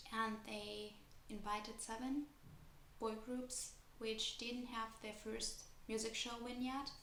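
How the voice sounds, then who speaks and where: Speaking at a very slow pace with long, frequent pauses, a woman with a non-native accent and a fairly high pitch keeps her intonation fairly even, amid noticeable background noise and audible room echo. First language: not English. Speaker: kpop youtuber and dancer. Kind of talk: casual vlog commentary.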